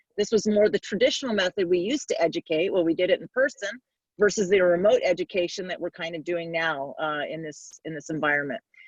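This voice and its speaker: A woman's medium-pitched voice at a very fast pace, with ordinary pitch variation, big swings in loudness and a dry, close sound with no echo. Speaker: fire service educator. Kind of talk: presentation.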